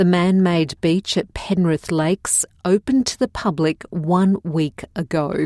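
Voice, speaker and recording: In an Australian accent, a woman speaks fairly slowly with hardly any pauses, her tone dark and mellow, her pitch variation ordinary, and the sound dry and close with no echo. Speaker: news presenter. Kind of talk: formal newsreading. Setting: studio. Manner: formal; measured, even-paced and neutral, clearly enunciated for learners.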